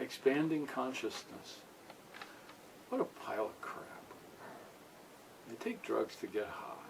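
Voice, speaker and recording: With noticeable background noise behind him, a man speaks with long, frequent pauses and big swings in loudness. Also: fairly slow pace. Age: 60s. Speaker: musician. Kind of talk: casual interview.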